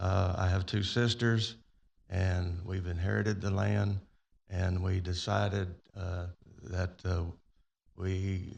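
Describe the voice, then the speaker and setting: Very deep and low in pitch, a man with a Texan accent speaks at a very slow pace with fairly even intonation, long, frequent pauses and a somewhat breathy sound. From Texas, Pearland. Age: 70s. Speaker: resident speaking at public hearing. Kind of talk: public comment.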